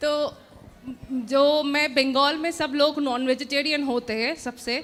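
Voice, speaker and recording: A woman speaks with a high pitch and monotone, flat intonation. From West Bengal, India. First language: Bengali (speaking Hindi). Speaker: audience member asking a question. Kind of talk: question to a guru.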